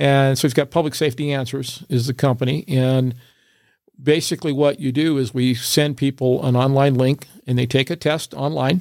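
In an American accent, a normal speaking voice delivers words at a moderate pace with fairly even intonation. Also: man, fairly high pitch for a man. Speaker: fire chief. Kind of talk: casual interview chat.

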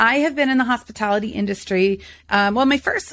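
Animated in tone with lively intonation, a woman talks at a fairly quick pace in a very clean recording with a silent background. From North Carolina, US South (born in Boston, moved at about nine). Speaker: burnout expert and keynote speaker. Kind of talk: casual interview chat.

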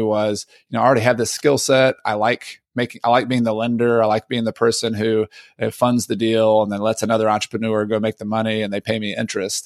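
A man with a Southern accent talks very fast at a medium pitch, recorded very cleanly with a silent background and a dry, close sound with no echo. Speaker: real estate investor and author. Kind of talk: casual interview. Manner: halting, many repeats.

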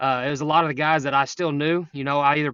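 With an East Texas accent, a man talks at a fairly quick pace and a fairly high pitch. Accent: East Texas Southern. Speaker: high school coach. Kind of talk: casual interview. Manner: energetic.

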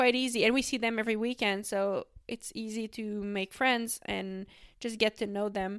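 A woman with a Quebec accent at a fairly high pitch and moderate pace, in a very clean recording with a silent background. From Quebec, Canada. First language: French. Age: 20s. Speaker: professional cyclist. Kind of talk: interview. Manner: halting.

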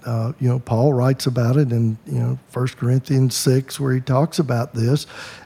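A man with an American accent speaks at a moderate pace and a medium pitch. Noticeable background noise runs underneath. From US South. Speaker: podcast host and counselor. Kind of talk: casual interview. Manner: halting, many fillers.

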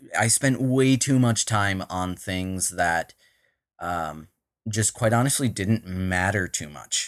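Speaking very slowly with lively intonation, a man with an American accent and a fairly low pitch sounds dry and close with no echo, on a very clean recording with a silent background. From Minnesota. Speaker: tech startup co-founder and CTO. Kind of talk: casual interview.

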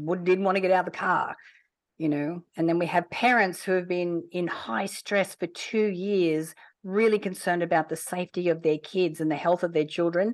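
A woman speaks in an ordinary speaking voice at a fairly low pitch and a moderate pace. Her intonation is fairly even against a quiet background. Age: 50s. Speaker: entrepreneur running a children's program. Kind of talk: interview.

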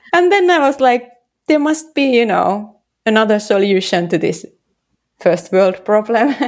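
A woman with a Finnish accent speaks at a fairly slow pace in a fairly high voice, her pitch swinging very widely while her loudness stays very even, broken by long, frequent pauses. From Finland, Helsinki. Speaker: street style photographer and app founder. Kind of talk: interview.

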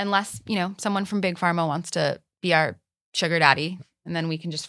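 Over a silent background in a very clean recording, a woman with a bright, sharp tone talks at a fairly quick pace with fairly even intonation. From Israel. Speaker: psychedelic policy advocate. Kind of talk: interview conversation.

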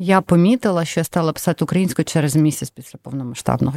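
At a very fast pace, a woman speaks in a very deep, low pitch with ordinary pitch variation and a dry, close sound with no echo. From Donetsk, eastern Ukraine. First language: Russian (speaking Ukrainian). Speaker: charity executive. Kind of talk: interview.

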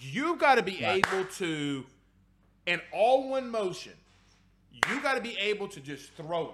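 A man talks at a fairly slow pace in a high voice, with very wide pitch swings, big shifts in loudness and long, frequent pauses. His tone is animated. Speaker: sports podcast host. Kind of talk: casual sports talk show.

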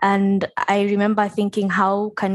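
A woman speaks at a medium pitch. The background is quiet. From Kenya. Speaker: climate activist, guest co-host. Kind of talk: casual chat.

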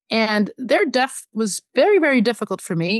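Against a quiet background, in a dry, close sound with no echo, a woman speaks at a fairly slow pace and a fairly high pitch with very wide pitch swings. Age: 40s. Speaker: media executive. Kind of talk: interview.

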